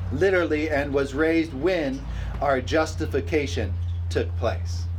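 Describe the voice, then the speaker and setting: Noticeable background noise runs under the talking. The delivery is medium in tempo, with pitch shifting in a typical way. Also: man. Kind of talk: sermon, preacher in full flow with a live congregation answering. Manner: animated, rousing, with call-and-response "amen?" and bursts of laughter; repetitive, hammering key phrases for emphasis.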